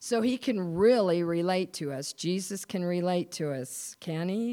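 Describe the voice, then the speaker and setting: On a very clean recording with a silent background, a woman with an American accent and a fairly low pitch speaks at a fairly slow pace, her tone dark and mellow and her intonation lively. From US Mountain West (Wyoming). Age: 60s. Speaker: pastor's wife giving a church talk. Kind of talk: devotional talk / testimony with reading aloud. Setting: church service, recorded.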